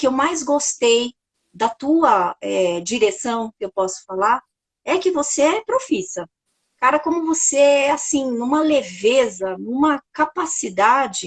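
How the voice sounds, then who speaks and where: A woman's high voice at a very slow pace, with very wide pitch swings, in a dry, close sound with no echo. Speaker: podcast host and author. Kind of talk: casual chat. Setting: livestream. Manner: halting, with self-corrections.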